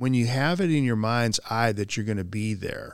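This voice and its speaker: A man speaks at a medium pitch with ordinary pitch variation, in an ordinary speaking voice. The recording is very clean, with a silent background. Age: 60s. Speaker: corporate training director. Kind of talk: casual chat.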